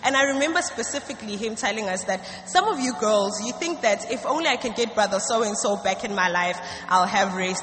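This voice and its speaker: Over noticeable background noise and audible room echo, a woman talks at a fairly high pitch with ordinary pitch variation. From South Africa. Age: 20s. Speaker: student giving church testimony. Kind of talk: church testimony. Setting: church stage.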